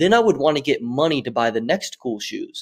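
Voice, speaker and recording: With a dry, close sound and no echo, a man speaks very fast with ordinary pitch variation. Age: 20s. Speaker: social media marketing agency founder. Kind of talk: podcast interview. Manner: casual.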